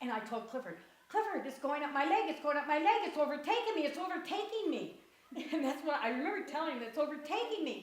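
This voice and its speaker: A woman at a high pitch and very fast pace, with very wide pitch swings and audible room echo. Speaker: grandmother recounting illness. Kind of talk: interview. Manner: animated.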